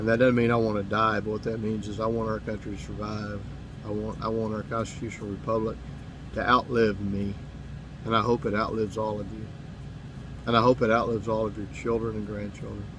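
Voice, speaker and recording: A man with a Southern US accent, fairly low in pitch, monotone and flat, at a very fast pace with audible room echo. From US South, Mississippi. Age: 50s. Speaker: political commentator. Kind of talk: monologue to camera. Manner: halting, with repetitions.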